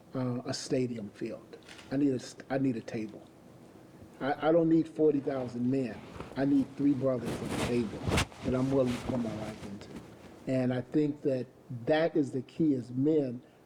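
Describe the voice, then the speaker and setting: Amid noticeable background noise, a man talks at a moderate pace with fairly even intonation and long, frequent pauses. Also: medium pitch for a man. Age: 60s. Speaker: mentor to men. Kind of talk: panel discussion.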